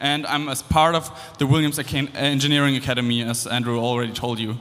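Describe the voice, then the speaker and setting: In a German accent, a man talks at a very fast pace and medium pitch. His intonation is fairly even, with noticeable background noise behind him. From Germany. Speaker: engineering student. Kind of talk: speech to student audience.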